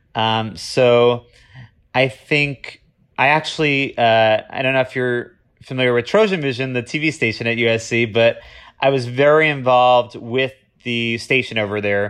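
An unremarkable speaking voice, a man at a medium pitch with fairly even intonation, a moderate pace and a quiet background. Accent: American. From Florida. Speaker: TV development executive. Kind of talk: interview.

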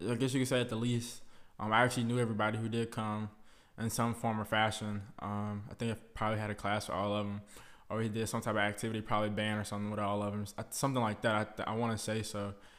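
This man's words come out very fast. The intonation stays monotone and flat throughout. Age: 20s. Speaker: podcast host, college student. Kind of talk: casual monologue. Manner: casual, filler-heavy.

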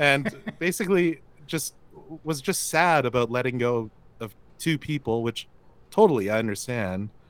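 Speaking at a moderate pace with long, frequent pauses, a man keeps a medium pitch and lively intonation. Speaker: inbound marketing agency founder. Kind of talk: casual chat. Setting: call.

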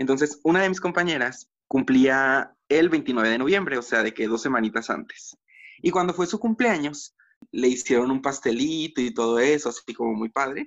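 A man with a Mexican accent speaks in a fairly high pitch. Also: moderate pace. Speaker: podcast co-host. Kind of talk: casual chat. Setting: video call.

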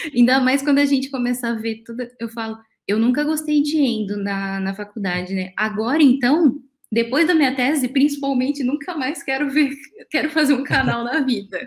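This woman's voice is high in pitch. She speaks at a moderate speed. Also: ordinary pitch variation. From interior of São Paulo state, Brazil. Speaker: dental radiologist. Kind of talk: casual chat. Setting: live stream.

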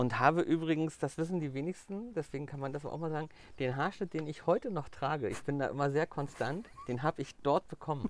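A man with a plain, everyday voice, fairly high in pitch, ordinary pitch variation, and a fairly quick pace. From Mecklenburg-Vorpommern, Germany. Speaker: hairdresser and color trainer. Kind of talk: casual interview. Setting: outdoors in a garden.

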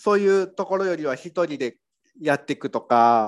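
A man's intonation is lively in this very clean recording, where the background is silent. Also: dry, close sound with no echo. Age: 40s. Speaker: copywriter and business owner co-host. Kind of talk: casual chat.

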